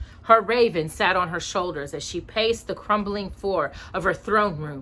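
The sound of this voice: The voice reads without strain. That unforced reading quality holds from start to finish.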